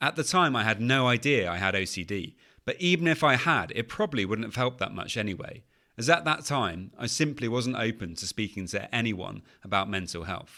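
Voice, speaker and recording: In a British accent, a man with a medium pitch and a bright, sharp tone speaks with lively intonation on a very clean recording with a silent background. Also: fairly quick pace. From England. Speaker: podcast host, anxiety coach. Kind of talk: podcast monologue. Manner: conversational, some filler words.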